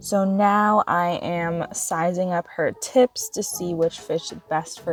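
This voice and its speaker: A woman talks at a very slow speed while music plays behind her. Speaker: nail technician. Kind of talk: tutorial voiceover. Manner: flat, low-energy.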